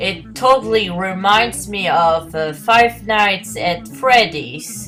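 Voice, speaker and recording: A woman's fairly low voice with very wide pitch swings and a very slow pace, music in the background. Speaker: podcaster. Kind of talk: casual solo podcast talk.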